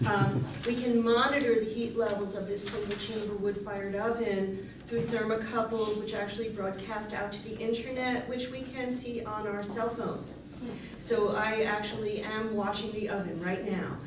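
Over noticeable background noise and audible room echo, a woman speaks with monotone, flat intonation. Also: moderate pace. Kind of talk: conference talk. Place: hall.

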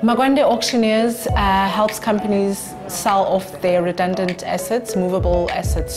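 A woman speaking over clear music in the background. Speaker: auctioneering company managing director. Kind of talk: interview answer about her business. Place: meeting room.

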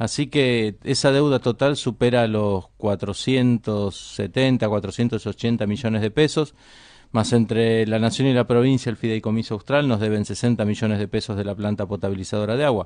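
A man speaks at a fairly slow pace with fairly even intonation. The sound is dry with no echo, and the background is quiet. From Argentina. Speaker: politician, governor-elect; politician. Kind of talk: radio interview. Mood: calm, measured. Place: studio. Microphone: studio mic.

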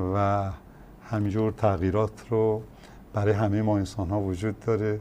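A man's voice at medium pitch, dark and mellow in tone. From Kermanshah, western Iran; Iran. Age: 60s. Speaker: former sports federation president; guest. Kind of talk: studio interview. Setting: studio. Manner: formal. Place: studio. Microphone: lapel.

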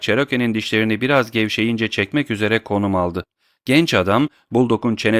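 The background stays quiet. Ordinary pitch variation runs through an unforced reading voice.

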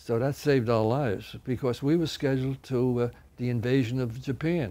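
At a moderate pace, a man talks in a dark, mellow tone with fairly even intonation. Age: 90s. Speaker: war veteran. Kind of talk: testimony; interview answer. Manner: halting. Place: studio.

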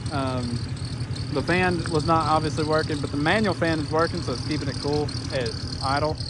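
A man at a moderate pace, dry with no echo, under loud background noise. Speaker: car vlogger. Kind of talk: casual vlog chat. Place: garden. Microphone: phone near.

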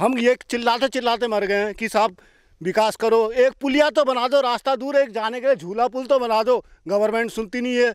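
In a very clean recording with a silent background and a dry, close sound with no echo, a man speaks at a moderate pace with an extremely high pitch and fairly even intonation. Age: 50s. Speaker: farmer. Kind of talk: street interview.

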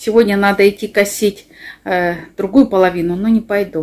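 A woman talks at a moderate pace. Her pitch moves in a fairly even way. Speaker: village life vlogger. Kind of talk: casual vlog chat. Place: kitchen. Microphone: phone near.

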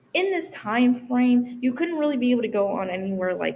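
A woman speaks with a high pitch at a moderate pace. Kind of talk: persuasive speech presentation. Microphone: webcam.

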